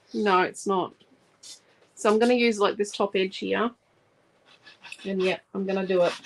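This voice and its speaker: The speaker talks at a moderate pace with a strong Australian accent, using monotone, flat intonation and long, frequent pauses. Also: woman, medium pitch for a woman. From Australia, Central Queensland. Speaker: scrapbooking crafter and channel host. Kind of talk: live craft tutorial. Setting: live stream. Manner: casual, chatty.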